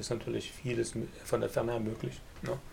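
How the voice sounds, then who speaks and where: A fairly quick pace marks this speech. It comes from a man. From eastern Germany, Leipzig (Saxony). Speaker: online business entrepreneur and course lecturer. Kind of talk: casual interview chat.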